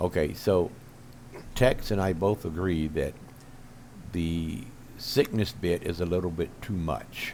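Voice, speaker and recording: A man talks at a very slow pace in a very deep, low voice with vocal fry. His intonation is lively. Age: 70s. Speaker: gaming video creator. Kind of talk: casual monologue to camera. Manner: halting, with many fillers.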